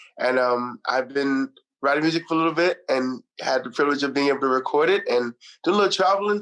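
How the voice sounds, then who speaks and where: Speaking at a fairly quick pace, a man with a Trinidadian accent uses a fairly high pitch and ordinary pitch variation. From Trinidad and Texas, US. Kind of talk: interview.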